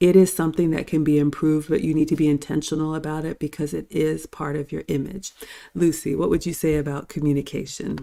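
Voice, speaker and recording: This woman has a very deep, low pitch, a dark, mellow tone and vocal fry, speaking at a very fast pace in a confident tone with monotone, flat intonation. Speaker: show host and cooking YouTuber. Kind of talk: panel discussion. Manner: polished, confident speaker.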